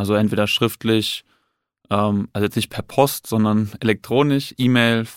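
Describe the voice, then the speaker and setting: A man speaks at a medium pitch and moderate pace. The sound is dry and close with no echo. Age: 20s. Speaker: police detective. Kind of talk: casual interview. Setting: studio.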